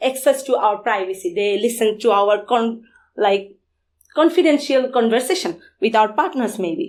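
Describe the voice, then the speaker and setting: A woman's fairly high-pitched voice with lively intonation. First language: Bengali. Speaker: security conference speaker. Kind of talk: conference talk.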